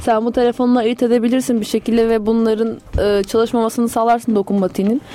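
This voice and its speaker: Delivered at a very fast pace with hardly any pauses, the speech stays monotone and flat at a very even loudness over noticeable background noise. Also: woman, fairly high pitch for a woman. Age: 20s. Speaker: student radio co-host. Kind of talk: casual chat.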